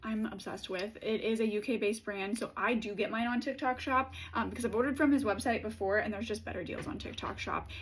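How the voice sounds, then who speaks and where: Somewhat breathy, a woman speaks at a fairly quick pace with a fairly high pitch and ordinary pitch variation. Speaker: beauty content creator. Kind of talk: product review monologue. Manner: fast; animated.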